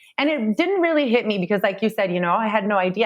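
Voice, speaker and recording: A woman speaks with a Spanish accent. Her pace is very fast. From Phoenix, Arizona. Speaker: solar sales executive. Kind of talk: podcast interview.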